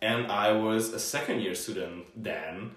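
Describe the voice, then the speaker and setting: Noticeable background noise sits behind a fairly low-pitched man speaking with a Hungarian accent and ordinary pitch variation. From Hungary. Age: 20s. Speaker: university student. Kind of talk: casual interview. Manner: cheerful, laughs often.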